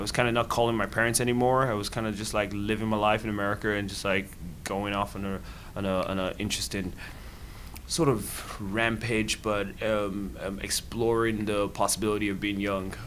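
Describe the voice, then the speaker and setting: In a room with audible echo, a man speaks at a fairly quick pace with fairly low pitch and fairly even intonation. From Nigeria. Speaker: student and nonprofit founder. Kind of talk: interview. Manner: halting, many fillers and repeated words.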